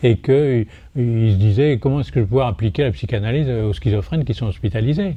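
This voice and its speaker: A man's medium-pitched voice, dark and mellow, somewhat breathy, with lively intonation and a fairly quick pace. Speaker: psychiatrist. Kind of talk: lecture. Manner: animated; hesitant.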